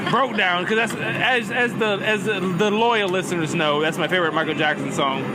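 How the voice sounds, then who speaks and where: Over crowd noise and audible room echo, a man with an American accent and a high pitch projects a raised voice at a moderate pace, with ordinary pitch variation and hardly any pauses. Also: very even loudness. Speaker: podcast host. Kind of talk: casual chat. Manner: halting.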